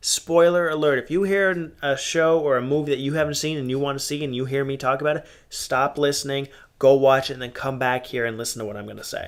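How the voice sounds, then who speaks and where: A man's fairly high-pitched voice at a very fast pace, with fairly even intonation. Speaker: podcast host. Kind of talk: casual solo podcast monologue. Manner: loud.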